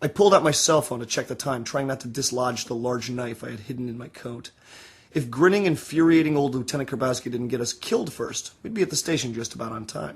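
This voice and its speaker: The man's delivery is very fast. There's a somewhat breathy quality to his voice. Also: medium pitch for a man, ordinary pitch variation, big swings in loudness. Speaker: author reading own novel. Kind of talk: audiobook reading.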